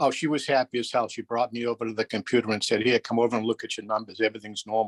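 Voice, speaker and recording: A man with an American accent, medium pitch and a flat monotone at a very fast pace, in a dry, close sound with no echo. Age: 60s. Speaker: caller. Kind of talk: phone-in question.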